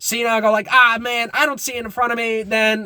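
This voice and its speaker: A man speaks very fast in a raised, projected voice at an extremely high pitch. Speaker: YouTuber commentator. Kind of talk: casual vlog commentary. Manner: halting, self-described stuttering.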